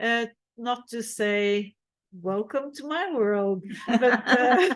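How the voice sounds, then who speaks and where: A woman with a fairly high voice speaks at a very slow pace, her intonation lively and her loudness swinging widely. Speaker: feminist activist speaker. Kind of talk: conference Q&A answer. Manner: halting, many fillers.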